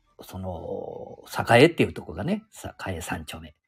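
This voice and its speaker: A man with a Nagoya accent speaks at a fairly slow pace. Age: 70s. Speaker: podcaster. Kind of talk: casual monologue. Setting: outdoors. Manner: rambling, halting with fillers.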